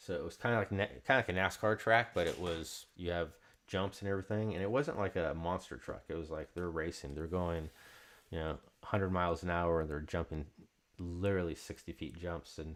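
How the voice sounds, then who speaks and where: A man mumbles at a fairly quick pace with a very deep, low pitch. The recording is very clean with a silent background. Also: ordinary pitch variation. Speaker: card break host. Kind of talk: live stream card break chat. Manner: mumbling.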